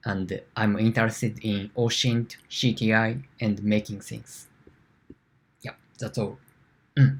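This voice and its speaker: A man with a Japanese accent speaks at a very slow pace and medium pitch, with long, frequent pauses. His intonation is fairly even, though his loudness swings a lot. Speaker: security engineer. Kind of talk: conference talk. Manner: halting.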